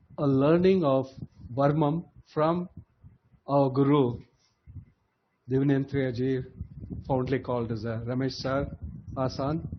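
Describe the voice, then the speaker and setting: Speaking at a fairly slow pace, a man keeps a fairly even intonation and leaves long, frequent pauses. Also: medium pitch for a man. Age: 60s. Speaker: graduating diploma student. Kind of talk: convocation speech. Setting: online video call.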